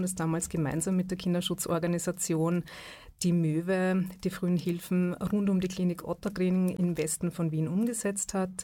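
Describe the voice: Fairly even intonation in a dark, mellow tone, at a moderate pace with few pauses. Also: woman.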